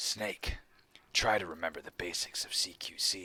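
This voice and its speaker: A raspy edge runs through this put-on character voice. The pace is moderate. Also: man. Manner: serious, tactical.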